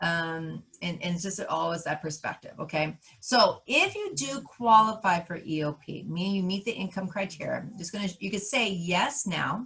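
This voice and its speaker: A woman speaks loudly at a moderate pace in a bright, sharp tone, with hardly any pauses. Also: medium pitch for a woman, ordinary pitch variation. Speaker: college counselor. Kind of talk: live workshop tutorial. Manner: loud and animated; passionate, energetic.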